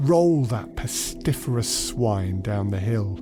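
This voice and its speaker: A man puts on a gruff character voice, fairly low in pitch, with lively intonation. He speaks at a fairly slow pace, and music is clearly audible in the background. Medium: read story.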